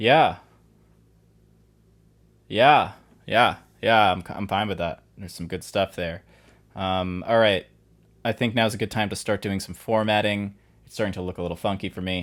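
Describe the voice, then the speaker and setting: With long, frequent pauses and big swings in loudness, the voice moves at a moderate pace on a very clean recording with a silent background. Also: man. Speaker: composer. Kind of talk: casual screen-recording commentary.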